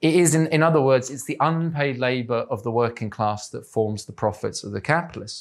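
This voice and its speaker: A man with an English accent speaks at a medium pitch with ordinary pitch variation, big swings in loudness and hardly any pauses, on a very clean recording with a silent background. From England. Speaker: political activist and editor giving a talk. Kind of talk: lecture. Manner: halting, many fillers.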